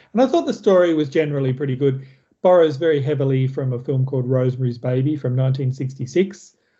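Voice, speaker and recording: A man with an Australian accent talks at a very fast pace. His voice is somewhat breathy, at a medium pitch. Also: ordinary pitch variation. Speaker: film review podcast host. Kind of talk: casual chat.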